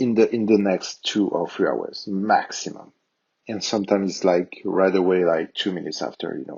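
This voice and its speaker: Speaking with a strong French accent, a man uses a fairly low pitch, ordinary pitch variation and a moderate pace. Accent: thick French. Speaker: tech tutorial youtuber. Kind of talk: tutorial. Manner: hesitant, many fillers.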